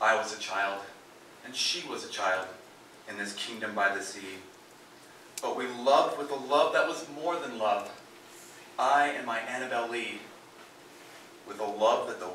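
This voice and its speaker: A man speaks at a moderate pace with lively intonation, pausing often and at length. Light background noise and audible room echo are present. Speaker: performer. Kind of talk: dramatic poetry reading. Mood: mournful, dramatic. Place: stage.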